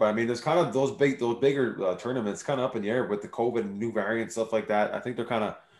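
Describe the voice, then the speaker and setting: A man talks at a very fast pace with a medium pitch. Noticeable background noise runs under his voice. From Montreal, Quebec. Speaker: sports podcast host, former pro football player. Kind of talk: casual chat.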